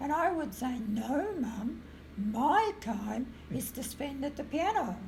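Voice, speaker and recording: Over noticeable background noise and audible room echo, a woman with an Australian accent speaks at a very slow pace in a high pitch with very wide pitch swings. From rural Victoria, Australia. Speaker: retired music teacher. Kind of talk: interview storytelling. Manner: halting, filler-heavy.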